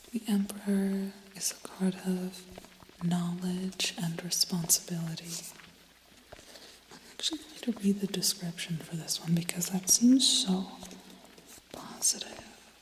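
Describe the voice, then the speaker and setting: Soft-spoken and calm, the voice moves at a fairly slow pace with long, frequent pauses over noticeable background noise. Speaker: tarot reader. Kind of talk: ASMR tarot reading. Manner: soft-spoken, calm.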